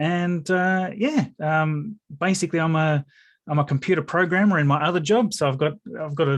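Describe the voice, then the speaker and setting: With an Australian accent, a man speaks at a moderate pace. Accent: Australian, noticeable to many. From Tasmania, Australia. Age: 40s. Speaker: YouTuber and computer programmer. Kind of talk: interview. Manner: hesitant, many fillers.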